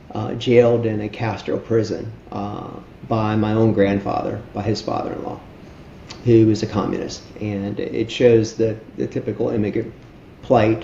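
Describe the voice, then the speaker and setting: Fairly low male voice in a flat monotone, moderate pace, with noticeable background noise. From Miami, Florida (Cuban-born). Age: 60s. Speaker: charity founder. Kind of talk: interview. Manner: halting, many fillers.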